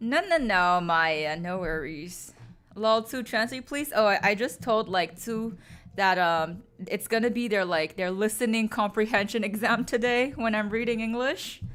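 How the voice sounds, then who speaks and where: With a plain, everyday voice, a woman speaks at a moderate pace and fairly high pitch, her intonation lively, in a very clean recording with a silent background. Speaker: streamer reading stories aloud. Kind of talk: casual live-stream chat.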